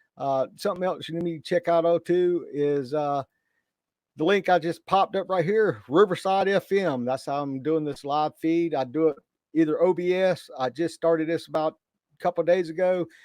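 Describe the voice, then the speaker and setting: A loud, high male voice at a moderate pace, with ordinary pitch variation, dry, close sound with no echo, and a quiet background. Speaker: correctional officer and YouTuber. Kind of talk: live stream talk. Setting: live stream. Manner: casual, halting with fillers.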